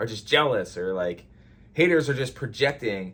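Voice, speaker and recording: A man speaks at a medium pitch. His voice is somewhat breathy. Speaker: skateboarding YouTuber. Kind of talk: casual talking-head vlog. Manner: fast.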